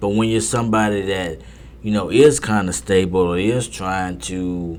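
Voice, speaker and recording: Very deep and low, a man's voice moves with lively intonation at a moderate pace. Audible room echo surrounds it. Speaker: poker podcast host. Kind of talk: casual monologue. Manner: repetitive, halting; stuttering.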